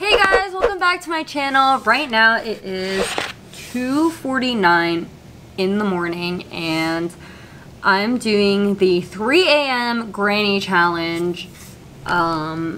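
Light background noise sits under a woman's voice. She speaks at a very slow pace with lively intonation. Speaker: gaming youtuber. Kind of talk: casual vlog chat. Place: home room.

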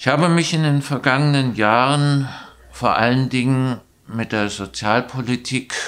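This man speaks at a very slow pace. His pitch is medium and his intonation fairly even. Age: 70s. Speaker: local election candidate, retired teacher; election candidate, retired teacher. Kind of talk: candidate self-introduction interview. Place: studio.

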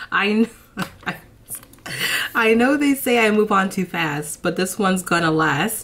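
Here a woman talks at a fairly slow pace. Her intonation stays lively. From Brooklyn, New York; raised in New Jersey. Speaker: lifestyle YouTuber. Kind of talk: casual talk to camera, music reaction. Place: home room. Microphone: phone near.

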